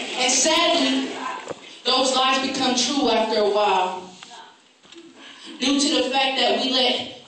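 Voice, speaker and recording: A woman with a high pitch speaks at a fairly slow pace with ordinary pitch variation. Strong room echo and light background noise are present. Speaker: spoken word poet. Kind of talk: spoken word poetry performance. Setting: live talent show stage. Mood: earnest, emphatic. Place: hall. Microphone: camera far.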